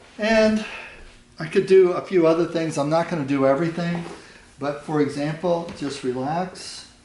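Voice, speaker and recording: A man speaks at a moderate pace with a high pitch. His pitch variation is ordinary, with noticeable background noise behind him. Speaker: Thai yoga manual therapy practitioner and teacher. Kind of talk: instructional demonstration narration while treating a client. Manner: calm, explanatory.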